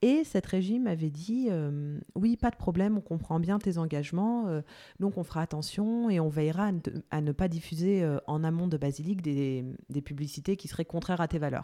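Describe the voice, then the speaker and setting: A woman speaks at a moderate pace with a dark, mellow tone and a fairly low pitch. Her pitch varies in an ordinary way, and the recording is very clean with a silent background. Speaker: podcast host. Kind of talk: interview.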